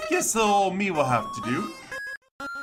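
A put-on character voice at a fairly high pitch, with faint music in the background. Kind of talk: folksy, old-fashioned. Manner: cheerful, folksy.

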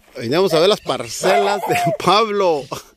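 With noticeable background noise but a dry sound and no echo, a man with a high pitch speaks with lively intonation. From Mexico, Michoacán (Llano Grande); Michoacán, Mexico. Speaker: video blogger. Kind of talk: casual vlog tour. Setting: outdoors. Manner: animated. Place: open country. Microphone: phone near.

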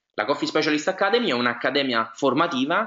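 This man's voice swings very widely in pitch. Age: 20s. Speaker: network marketing presenter. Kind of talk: sales pitch. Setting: webinar. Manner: hesitant, frequent fillers.

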